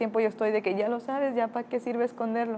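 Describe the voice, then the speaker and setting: A woman talks at a very fast pace with a dark, mellow tone and fairly high pitch. Her intonation stays monotone and flat. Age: 20s. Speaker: interviewee. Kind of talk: testimony.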